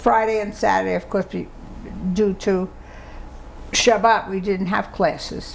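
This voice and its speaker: A woman speaks at a fairly slow pace. Long pauses come often. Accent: New York. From New York City (Brooklyn/Bronx). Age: 90s. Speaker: oral history interviewee. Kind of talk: oral history interview. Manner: halting.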